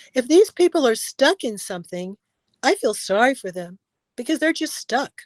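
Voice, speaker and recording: At a moderate pace, a woman with an American accent speaks with very wide pitch swings. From Los Angeles, US. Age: 70s. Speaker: actress and stuntwoman. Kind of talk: interview.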